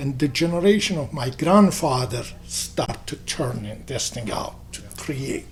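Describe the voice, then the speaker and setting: A man with an Albanian accent, lively intonation and big swings in loudness at a fairly slow pace, over noticeable background noise. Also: fairly high pitch for a man, hardly any pauses. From Kosovo. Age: 60s. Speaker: businessman and community figure. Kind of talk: interview. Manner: halting.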